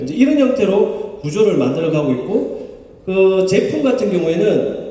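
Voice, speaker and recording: Speaking with a Gyeongsang accent, a man with a high pitch keeps a moderate pace. Audible room echo and noticeable background noise fill the recording. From Gyeongsang region, Korea. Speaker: company chairman presenting to members. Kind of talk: business presentation.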